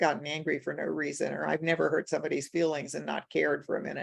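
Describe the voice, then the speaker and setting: Someone talks at a very fast pace with vocal fry over a quiet background. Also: woman. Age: 70s. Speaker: author and coach in the principles. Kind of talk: conversational talk on a group video session. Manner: halting, with many restarts.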